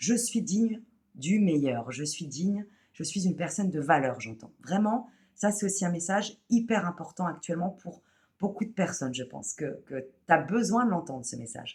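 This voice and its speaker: Somewhat breathy and fairly low-pitched, a woman speaks at a moderate pace with very wide pitch swings. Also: big swings in loudness. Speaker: spiritual channeler. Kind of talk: channeled spiritual message. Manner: hesitant, many fillers and repeats.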